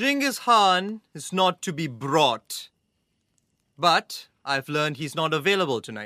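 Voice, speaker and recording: In a menacing tone, the speaker goes at a fairly slow pace in a very clean recording with a silent background. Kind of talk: dramatic audio-drama performance as a stern officer. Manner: cold, formal, clipped, menacing.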